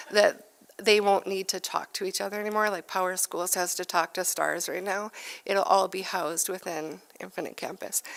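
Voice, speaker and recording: A woman puts on a raspy character voice at medium pitch. She keeps a flat monotone at a moderate pace. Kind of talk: professional, explaining in a meeting.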